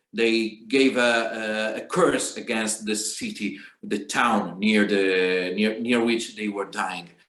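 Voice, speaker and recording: A man with a fairly low pitch and ordinary pitch variation speaks at a very slow pace with hardly any pauses, and room echo is audible. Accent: Italian. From Italy. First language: Italian. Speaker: singer and guitarist. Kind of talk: spoken song introduction. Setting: video call. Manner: halting, many hesitations.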